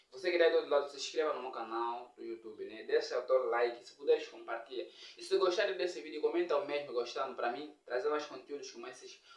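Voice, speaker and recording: Talking at a very fast pace with hardly any pauses, a man's voice shows big swings in loudness. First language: Nyaneka (speaking Portuguese). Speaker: comedian and YouTuber. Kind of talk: casual language lesson vlog.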